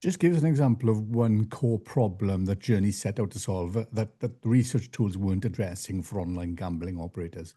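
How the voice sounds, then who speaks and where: Fairly low-pitched male speech, dark, mellow and somewhat breathy, with ordinary pitch variation, a fairly quick pace, hardly any pauses and a quiet background. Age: 60s. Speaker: podcast host. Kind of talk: podcast interview.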